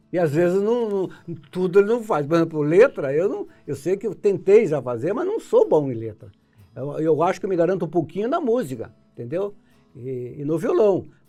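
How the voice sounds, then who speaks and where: With music playing behind him, a man speaks at a moderate pace in a high voice with lively intonation. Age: 70s. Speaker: composer and guitarist. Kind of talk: interview. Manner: halting, repetitive hesitations.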